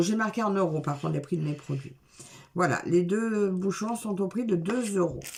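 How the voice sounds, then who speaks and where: A woman talks with very wide pitch swings. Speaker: craft video creator. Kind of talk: unboxing product review. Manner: casual, hesitant with fillers.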